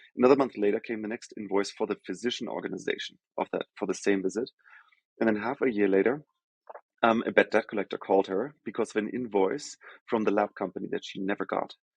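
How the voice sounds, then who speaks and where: A man with a German accent at a very fast pace, fairly low in pitch with fairly even intonation, in a dry, close sound with no echo. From Germany. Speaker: healthcare tech executive. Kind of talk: podcast interview.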